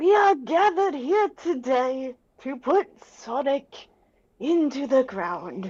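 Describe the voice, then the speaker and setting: This put-on character voice sounds female, with a high pitch and a very slow pace. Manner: solemn, mock-serious.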